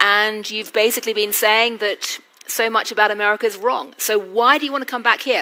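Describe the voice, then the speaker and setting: A woman with a British accent, fairly high pitch, fairly even intonation and moderate pace. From Britain. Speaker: journalist and interviewer. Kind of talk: onstage interview. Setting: stage with audience.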